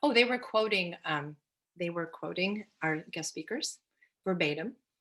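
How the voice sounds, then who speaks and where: Her tone is bright and sharp, and this woman's pitch is fairly low. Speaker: school librarian. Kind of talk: webinar presentation Q&A. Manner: enthusiastic, many fillers.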